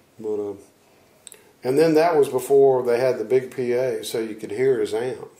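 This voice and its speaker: Noticeable background noise sits behind a voice with an American accent. The pace is moderate, broken by long, frequent pauses. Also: man. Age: 60s. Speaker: blues guitarist. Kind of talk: interview. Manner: halting.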